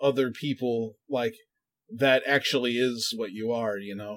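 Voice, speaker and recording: At a fairly slow pace, a man talks with a plain, everyday voice and fairly even intonation. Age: 30s. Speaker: podcast co-host. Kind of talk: casual chat.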